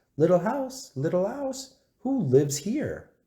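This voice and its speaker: Putting on a character voice, a man speaks high and at a fairly slow pace, with very wide pitch swings. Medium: read story.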